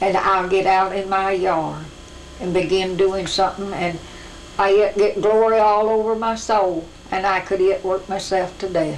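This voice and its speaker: A woman with an American accent speaks in a monotone, flat intonation at a fairly slow pace. There is light background noise. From rural Missouri. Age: 80s+. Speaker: farm woman. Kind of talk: interview answer. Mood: warm, earnest, joyful. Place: home room.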